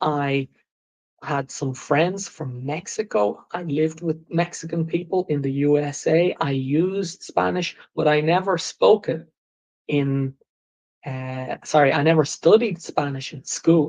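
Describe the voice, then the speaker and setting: In an Irish accent, a man speaks with a fairly high pitch and ordinary pitch variation. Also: fairly slow pace. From Ireland. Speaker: English teacher. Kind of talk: live English lesson podcast. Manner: slow, clear teacher style.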